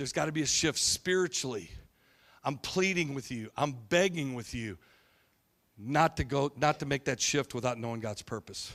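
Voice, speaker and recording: A man's fairly high voice, a normal speaking voice, with lively intonation and a moderate pace in a very clean recording with a silent background. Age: 50s. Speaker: pastor. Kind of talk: sermon.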